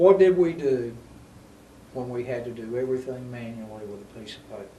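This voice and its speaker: Talking at a fairly quick pace with an American accent, a man uses a medium pitch and ordinary pitch variation, with big swings in loudness and audible room echo. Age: 70s. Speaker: city mayor, show host. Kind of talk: local TV interview.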